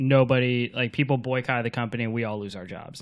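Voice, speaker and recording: A plain, everyday voice at a fairly quick pace with fairly even intonation. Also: man. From Florida. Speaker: podcast co-host. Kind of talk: casual chat.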